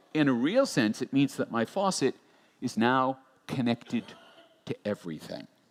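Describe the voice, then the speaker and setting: Speaking at a moderate pace with lively intonation and long, frequent pauses, a man with an American accent and a medium pitch comes through in a dry, close sound with no echo. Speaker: futurist keynote speaker. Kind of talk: conference keynote.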